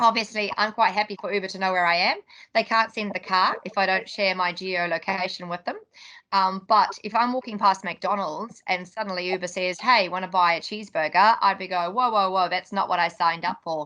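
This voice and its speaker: Her tone is bright and sharp, at a medium pitch. The woman talks fairly quickly with fairly even intonation. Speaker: tech company CEO, conference speaker. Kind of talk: conference talk. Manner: fast.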